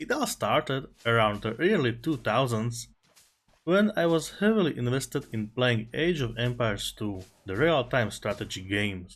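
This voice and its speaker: A man speaks at a moderate pace with a non-native accent. His pitch sits in the medium range. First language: not English. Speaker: gaming content creator. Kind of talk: personal storytelling over gameplay.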